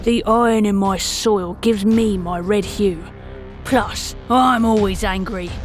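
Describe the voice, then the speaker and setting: A woman uses a put-on character voice, growling at medium pitch. She goes at a fairly slow pace over clear background noise. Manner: angry.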